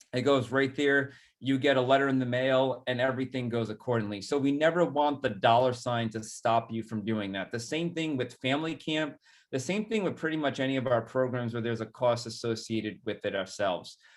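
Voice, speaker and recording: A man with a Rhode Island accent, medium pitch, ordinary pitch variation and a fairly quick pace. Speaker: executive director of a nonprofit. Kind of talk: presentation. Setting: webinar video call.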